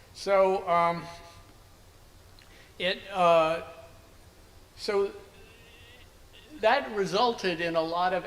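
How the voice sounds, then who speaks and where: A man talks with a high pitch. Behind him, noticeable background noise is present. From US Northeast (Princeton, New Jersey). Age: 70s. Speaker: anthropologist. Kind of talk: interview.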